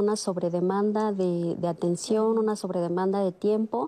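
An unremarkable speaking voice at a moderate pace carries fairly even intonation in a dry, close sound with no echo. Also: woman. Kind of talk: panel discussion.

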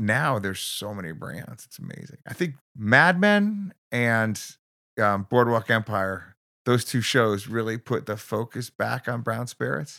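A man at a medium pitch speaks at a fairly slow pace with a bright, sharp tone and lively intonation. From Connecticut, Bridgeport. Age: 50s. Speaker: bartender. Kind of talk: casual interview chat. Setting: studio.

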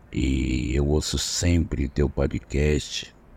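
Noticeable background noise sits behind a man speaking with a very deep, low pitch. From interior of São Paulo state, Brazil. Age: 60s. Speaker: listener telling a story. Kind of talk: voice message testimony. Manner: casual, conversational.

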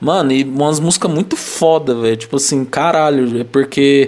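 It is a plain, everyday voice speaking at a moderate pace. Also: man. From Brazil. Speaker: podcast co-host. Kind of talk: casual chat.

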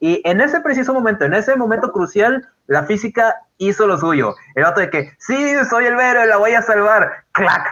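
The voice is raised and projected, with very even loudness. It keeps a moderate pace and makes very wide pitch swings. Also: man, high pitch for a man. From Guadalupe, Monterrey area, Mexico. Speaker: podcast co-host. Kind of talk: casual chat. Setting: online voice call.

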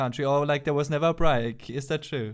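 With a German accent, a man speaks at a moderate pace in a fairly high pitch with ordinary pitch variation, on a very clean recording with a silent background. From Austria. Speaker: podcast co-host. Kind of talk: casual interview.

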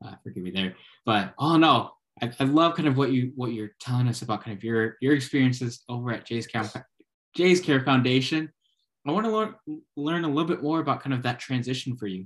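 Speaking fairly quickly, a man with a plain, everyday voice keeps to a medium pitch and varies it in an ordinary way. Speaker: podcast host. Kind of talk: casual interview.

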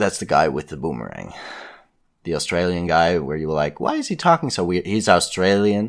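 In a very clean recording with a silent background, a man talks at a fairly quick pace. His pitch is very deep and low, with ordinary variation. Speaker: podcast host. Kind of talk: casual chat. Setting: home recording.

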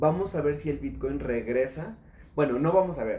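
With a dark, mellow tone and some vocal fry, a man speaks at a moderate pace in a fairly high pitch, his intonation lively, amid audible room echo. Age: 30s. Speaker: entrepreneur, cryptocurrency expert. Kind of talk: casual interview.

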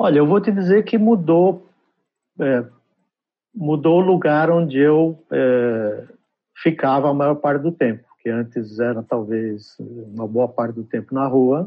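Lively intonation from a man, at a fairly slow pace. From Brazil (São Paulo), born in Trás-os-Montes, Portugal. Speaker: advertising executive. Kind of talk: interview. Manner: halting.

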